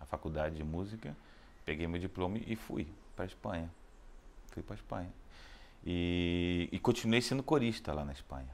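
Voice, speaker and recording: A man with a Rio de Janeiro accent speaks at a very deep, low pitch and a fairly quick pace, using lively intonation broken by long, frequent pauses. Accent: Rio de Janeiro Brazilian Portuguese. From Rio de Janeiro, Brazil. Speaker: opera baritone singer. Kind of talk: interview answer.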